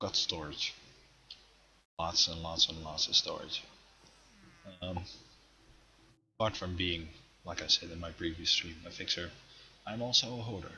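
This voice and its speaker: Long, frequent pauses, big swings in loudness and ordinary pitch variation. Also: man, very deep, low pitch for a man, moderate pace. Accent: non-native. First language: not English. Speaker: gaming streamer. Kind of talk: live stream game tour. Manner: halting, many pauses.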